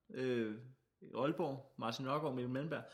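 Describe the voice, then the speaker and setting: A man is speaking. His pace is moderate and his pitch varies in an ordinary way. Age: 20s. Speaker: comedian and radio host. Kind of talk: casual chat.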